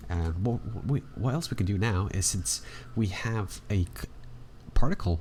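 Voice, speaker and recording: Intonation is lively and the pace moderate. The voice sounds somewhat breathy. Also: man. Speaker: 3D art tutorial creator. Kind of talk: tutorial. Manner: casual.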